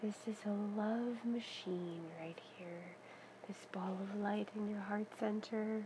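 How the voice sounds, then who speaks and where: Over noticeable background noise, a woman talks very slowly in a gentle, soothing tone, her medium pitch held in a monotone, flat delivery. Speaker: meditation guide. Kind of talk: guided meditation. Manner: slow, soft, soothing, calm; gentle pacing with long pauses.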